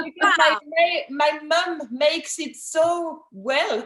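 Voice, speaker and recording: A woman speaks at a high pitch with a French accent. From France, Alsace. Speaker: winemaker. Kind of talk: casual chat. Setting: video call. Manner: halting, many fillers.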